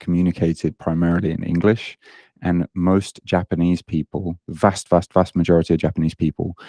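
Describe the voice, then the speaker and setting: A man with a British accent talks at a fairly quick pace in a very deep, low pitch and a dark, mellow tone. His intonation is monotone and flat, in a dry, close sound with no echo and a quiet background. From Britain. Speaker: online fitness coach. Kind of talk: podcast interview.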